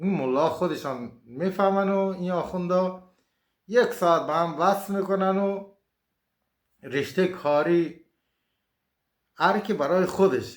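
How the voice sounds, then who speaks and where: A man with a high pitch talks at a very slow pace. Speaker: fortune teller. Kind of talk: casual monologue. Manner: colloquial, informal.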